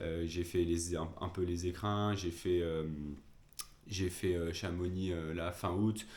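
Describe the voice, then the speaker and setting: A man with a very deep, low voice talks at a very slow pace in a monotone, flat delivery, with audible room echo. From France, Lyon. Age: 20s. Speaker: amateur trail runner, vlogger. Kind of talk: casual vlog talk. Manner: hesitant, many fillers.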